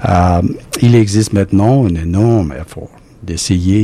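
A man speaks with an English accent and ordinary pitch variation. Noticeable background noise runs through the clip. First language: English (speaking French). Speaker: immunology professor and cancer researcher. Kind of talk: recorded interview. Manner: halting.

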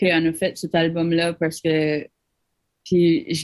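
Speaking at a very slow pace, a woman has a fairly low pitch and a New Brunswick Acadian accent. The background is quiet. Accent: Acadian chiac, unchanged. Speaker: musician. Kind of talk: interview. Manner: mixes English into French.

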